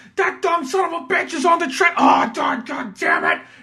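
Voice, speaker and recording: In a put-on character voice, someone speaks at an extremely high pitch and a moderate pace. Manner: angry.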